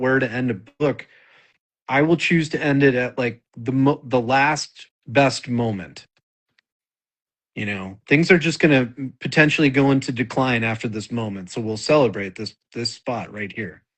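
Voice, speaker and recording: An unremarkable speaking voice from a man with an American accent, medium in pitch, at a moderate pace with ordinary pitch variation. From Wisconsin, US Midwest. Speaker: novelist. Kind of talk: casual interview chat.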